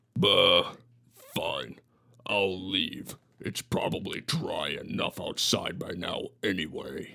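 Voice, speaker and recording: A man's growling, put-on character voice at a very slow pace, with long, frequent pauses. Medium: read story. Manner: scheming, smug.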